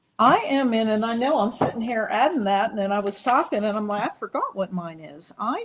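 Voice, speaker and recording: A woman with an unremarkable speaking voice and lively intonation. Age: 60s. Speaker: psychic and numerologist. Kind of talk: casual chat.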